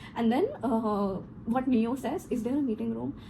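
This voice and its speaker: A woman speaks in an animated tone. Noticeable background noise is present. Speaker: corporate trainer. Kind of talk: personal story vlog.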